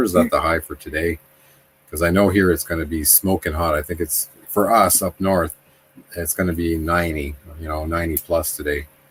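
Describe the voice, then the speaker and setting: With noticeable background noise behind him, a man's very deep, low voice proceeds at a moderate pace. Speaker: RV lifestyle vlogger. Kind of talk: casual chat. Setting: live stream.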